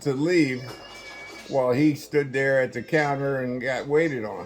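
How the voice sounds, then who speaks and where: The speaker has an American accent and a fairly slow pace. Noticeable background noise sits behind the voice. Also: man. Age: 80s+. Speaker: family elder telling life stories. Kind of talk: casual chat. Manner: animated.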